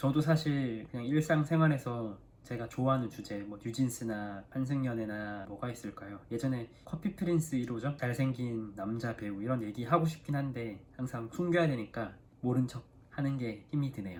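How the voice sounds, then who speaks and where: Speaking at a moderate pace, a man with a medium pitch and ordinary pitch variation sounds somewhat breathy. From South Korea. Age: 30s. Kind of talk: casual talk to camera.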